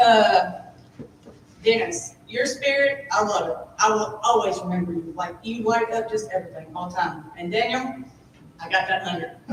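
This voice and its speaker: An animated tone comes through with audible room echo. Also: woman, fairly high pitch for a woman, lively intonation, moderate pace. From Kentucky. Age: 30s. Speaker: apprentice graduate. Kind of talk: graduation speech. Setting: ceremony with audience. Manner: loud.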